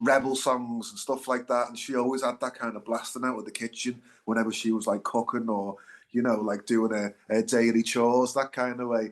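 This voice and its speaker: Over a quiet background, a man with a Liverpool accent speaks at a fairly quick pace and medium pitch, his intonation monotone and flat. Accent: Liverpool (Scouse). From Liverpool, England. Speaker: singer-songwriter, band frontman. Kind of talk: interview, casual chat. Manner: hesitant, many fillers.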